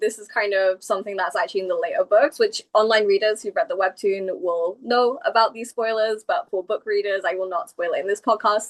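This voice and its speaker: With a British accent and ordinary pitch variation, a woman speaks at a fairly high pitch and a moderate pace, the sound dry and close with no echo. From England. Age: 30s. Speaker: comic book creator. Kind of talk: casual interview chat.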